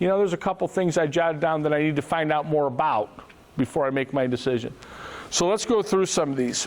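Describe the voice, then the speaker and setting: A man talks at a fairly quick pace. His pitch sits fairly high. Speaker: financial advisor. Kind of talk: seminar presentation. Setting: room with live audience. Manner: fast.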